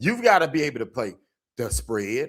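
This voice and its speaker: A man with an American accent speaks in an animated tone. The recording is very clean, with a silent background. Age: 60s. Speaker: sports commentator and youth trainer. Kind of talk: casual video commentary. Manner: animated, repetitive emphasis.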